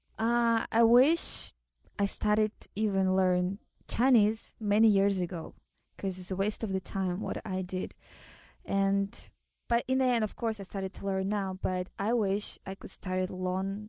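A woman with a Russian accent speaks at a fairly slow pace in a medium pitch, her dark, mellow tone and fairly even intonation captured in a dry, close sound with no echo against a quiet background. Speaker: model and actress. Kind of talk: interview.

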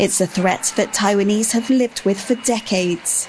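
Noticeable background noise accompanies a woman speaking with ordinary pitch variation. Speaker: news reporter. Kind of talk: news reading. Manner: formal.

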